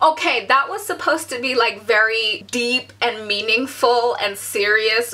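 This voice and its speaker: Over noticeable background noise, a woman speaks high in pitch with lively intonation. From Bangladesh, raised also in US and Korea. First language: Bangla. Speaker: vlogger. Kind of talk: vlog monologue.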